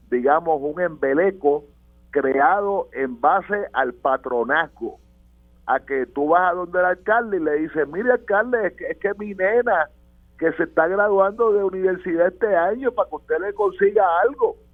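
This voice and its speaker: A man with a high pitch talks at a moderate pace while music plays in the background. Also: lively intonation. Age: 70s. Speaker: political commentator. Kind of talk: radio panel discussion.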